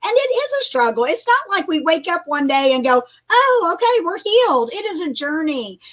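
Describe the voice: A woman speaks at an extremely high pitch with a fairly bright tone. Her pitch swings widely. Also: moderate pace.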